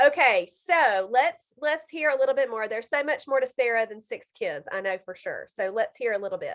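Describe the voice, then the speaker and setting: Speaking in a strong Mississippi Southern accent, a woman with a high pitch uses lively intonation, big swings in loudness and hardly any pauses. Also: fairly quick pace. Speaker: health coach and video host. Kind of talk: casual interview chat. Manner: animated.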